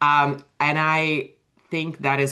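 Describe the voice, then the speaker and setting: This woman speaks with a Russian accent. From Russia (USSR). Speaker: author and writing coach. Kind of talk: interview.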